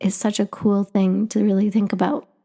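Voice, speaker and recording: A woman with a Canadian accent talks in a dark, mellow tone at a medium pitch, her intonation fairly even. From Canada. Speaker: podcast host. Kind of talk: personal narrative podcast.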